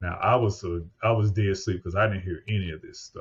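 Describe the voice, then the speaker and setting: A man speaks at a fairly low pitch in a somewhat breathy voice. His intonation is fairly even. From US Midwest (St. Louis, Missouri). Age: 50s. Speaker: podcast host and paramedic. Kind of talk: podcast interview. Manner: conversational.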